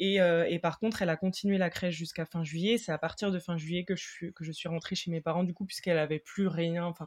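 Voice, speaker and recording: A woman's voice sits fairly low in pitch, and her intonation stays fairly even. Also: very clean recording, silent background. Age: 20s. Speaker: mother sharing separation experience. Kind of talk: testimony. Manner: hesitant, many fillers.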